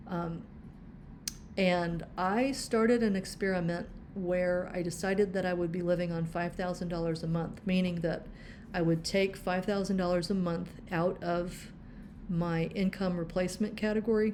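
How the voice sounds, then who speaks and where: With audible room echo, a woman speaks at a medium pitch and a moderate pace with fairly even intonation. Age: 60s. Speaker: personal finance vlogger. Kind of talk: budgeting tutorial walkthrough. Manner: casual, with frequent filler words.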